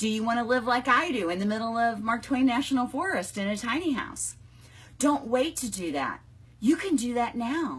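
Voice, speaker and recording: An ordinary speaking voice from a woman with an American accent, fairly high pitch, lively intonation and a moderate pace. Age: 60s. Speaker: business coach. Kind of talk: live video chat. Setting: home, live online stream. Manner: casual, conversational.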